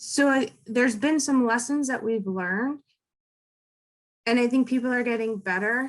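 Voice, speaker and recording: Fairly slow delivery with ordinary pitch variation. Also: woman. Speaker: data privacy expert. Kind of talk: interview. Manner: loud.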